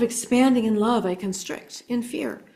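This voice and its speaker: A woman talks at a fairly slow pace with ordinary pitch variation. Her tone is dark and mellow, and somewhat breathy. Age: 60s. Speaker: spiritual speaker and psychic. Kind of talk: inspirational talk.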